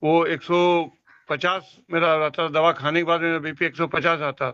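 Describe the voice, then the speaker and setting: This man talks in a fairly high pitch with monotone, flat intonation. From Jharkhand, India. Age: 70s. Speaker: customer giving testimonial. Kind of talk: testimony. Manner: halting.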